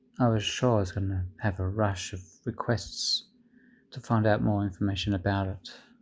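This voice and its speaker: Recorded very cleanly against a silent background, a man speaks at a moderate pace in a fairly low, somewhat breathy voice with fairly even intonation. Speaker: tech reviewer. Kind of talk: product review with comedy skit.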